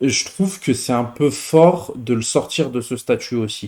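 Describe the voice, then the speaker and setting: At a fairly slow pace, a man speaks at a medium pitch with a dark, mellow tone. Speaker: football YouTuber. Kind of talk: casual chat. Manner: hesitant, many fillers.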